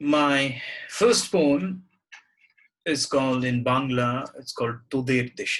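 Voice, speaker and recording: Very slowly and with long, frequent pauses, a man with a Bengali accent speaks at medium pitch with ordinary pitch variation. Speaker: poet. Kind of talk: reflective talk and poetry reading. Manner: halting, with repetitions and fillers.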